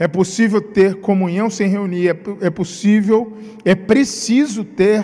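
Very slow speech in a Rio de Janeiro accent, with fairly even intonation and noticeable background noise. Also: man. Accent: carioca. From Rio de Janeiro, Brazil. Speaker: pastor. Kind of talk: sermon. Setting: livestreamed church service.

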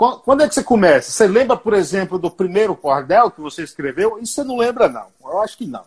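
Talking at a fairly quick pace with hardly any pauses, a man with a high pitch makes very wide pitch swings and big swings in loudness. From Bahia, Brazil. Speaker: radio host. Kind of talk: interview.

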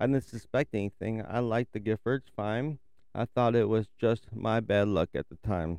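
A man at medium pitch and moderate pace, with ordinary pitch variation, a dry, close sound with no echo and a quiet background. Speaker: truck driver and true crime podcaster. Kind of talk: true-crime narration, read aloud from written case notes. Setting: parked truck stop, cab of a truck. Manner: halting, stumbling over words while reading; conversational and informal.

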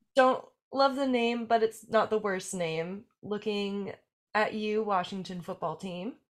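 A woman speaks in a normal speaking voice, fairly high in pitch, at a fairly slow pace with ordinary pitch variation. The recording is very clean, with a silent background. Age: 20s. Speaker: podcast host and musician. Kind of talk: casual chat; show outro.

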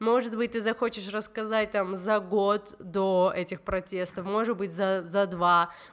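Speaking at a moderate pace, a woman uses a medium pitch with ordinary pitch variation in a normal speaking voice. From Georgia. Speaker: podcast host. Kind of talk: casual interview.

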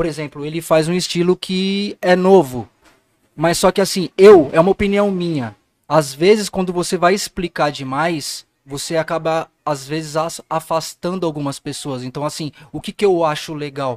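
With an unremarkable speaking voice, a man talks at a moderate pace, fairly high in pitch with ordinary pitch variation. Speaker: music producer. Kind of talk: casual chat.

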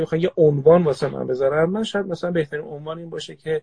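This man has a fairly high pitch with ordinary variation. His voice is somewhat breathy. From Tehran, Iran. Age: 40s. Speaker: organizational psychologist. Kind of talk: casual chat.

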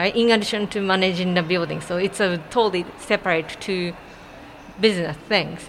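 With a Japanese accent, a woman talks at a fairly quick pace in a medium pitch and fairly even intonation over noticeable background noise. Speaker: artist. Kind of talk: casual interview.

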